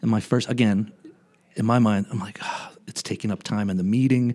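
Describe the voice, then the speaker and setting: In a very clean recording with a silent background, a man talks at a fairly quick pace with an American accent. He has a plain, everyday voice and ordinary pitch variation. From local area of the show (US East Coast). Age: 40s. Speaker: foundation fundraiser, aspiring podcaster. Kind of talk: casual chat.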